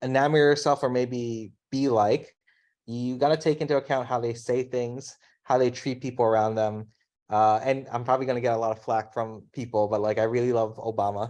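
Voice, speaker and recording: This man speaks with an American accent at a medium pitch. His pace is fairly quick and his intonation fairly even. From US, Filipino background. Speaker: design leader. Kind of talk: casual interview chat. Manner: fast.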